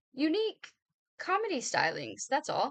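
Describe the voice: A woman puts on a character voice, nasal and high-pitched. She speaks at a moderate pace.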